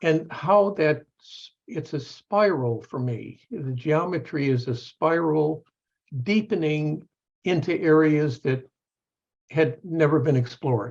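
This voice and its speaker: A man's fairly high voice at a very slow pace, with ordinary pitch variation and big swings in loudness. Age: 70s. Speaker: professor. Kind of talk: panel discussion. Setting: video call. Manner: halting.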